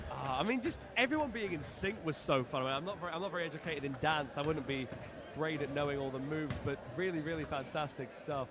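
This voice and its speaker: With noticeable background noise, a man rushes at a very fast pace in a fairly high pitch and ordinary pitch variation. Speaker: sports commentator. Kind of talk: live commentary. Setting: basketball venue with crowd and music. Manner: loud; animated.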